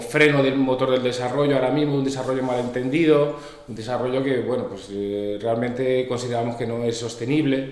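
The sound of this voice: There is audible room echo around this man's voice. He speaks at a moderate pace and a medium pitch.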